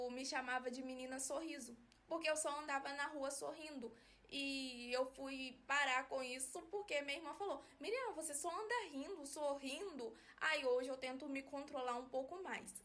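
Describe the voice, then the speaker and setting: A woman's bright, sharp, high-pitched voice at a moderate pace. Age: 20s. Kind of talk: personal explainer video. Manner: soft-spoken; flat, little modulation.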